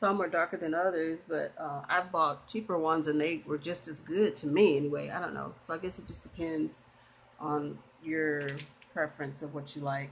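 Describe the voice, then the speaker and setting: A woman's relaxed, very deep, low voice with fairly even intonation. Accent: Southern US. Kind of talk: casual talk to camera. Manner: relaxed, hesitant with fillers.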